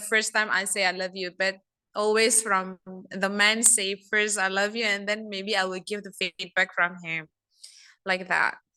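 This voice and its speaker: A woman speaks with a non-native accent and fairly even intonation. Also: quiet background. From Asia. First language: not English. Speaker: first-time club visitor. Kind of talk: impromptu speech. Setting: video call. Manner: halting.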